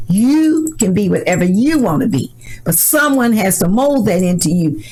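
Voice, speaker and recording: A woman's medium-pitched voice at a moderate pace, with very wide pitch swings and very even loudness, amid audible room echo and noticeable background noise. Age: 60s. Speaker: community advocate. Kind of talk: interview. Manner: animated.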